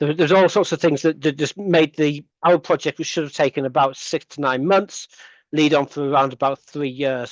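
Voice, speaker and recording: Talking at a fairly quick pace, a man has an English accent. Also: dry, close sound with no echo, quiet background. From England. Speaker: lecturer in computing, conference presenter. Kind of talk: conference Q&A answer. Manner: hesitant, many fillers and restarts.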